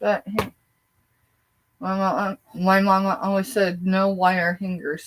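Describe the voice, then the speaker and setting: A woman's somewhat breathy medium-pitched voice with an American accent, at a fairly slow pace. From southeast Colorado. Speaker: online reseller. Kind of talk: live selling stream. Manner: casual, chatty.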